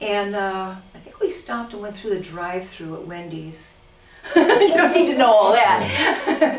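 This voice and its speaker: With audible room echo and noticeable background noise, a woman at a medium pitch speaks fairly slowly, her pitch swinging very widely and her loudness rising and falling in big swings. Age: 60s. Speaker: cosmetic surgery patient giving testimonial. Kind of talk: testimonial interview. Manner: animated.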